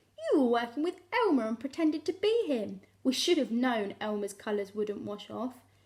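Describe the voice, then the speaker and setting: A woman speaks in a put-on character voice with a high pitch. Her pace is moderate, with hardly any pauses. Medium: read story.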